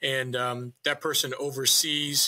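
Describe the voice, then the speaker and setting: With a slight New Hampshire accent, the voice has a bright, sharp tone and fairly even intonation. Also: man. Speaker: town manager and real estate broker. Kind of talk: casual interview.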